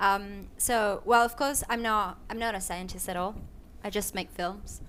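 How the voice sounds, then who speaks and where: Fairly slow and even in intonation, a woman speaks. Room echo is audible around her. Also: medium pitch for a woman. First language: not English. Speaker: filmmaker. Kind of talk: panel discussion. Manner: halting, many fillers and restarts.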